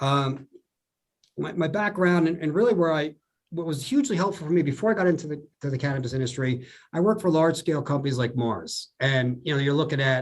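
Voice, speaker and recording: At a very fast pace, a man speaks in a somewhat breathy voice at a fairly high pitch with ordinary pitch variation. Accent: New Jersey. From New Jersey. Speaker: food scientist. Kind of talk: podcast interview.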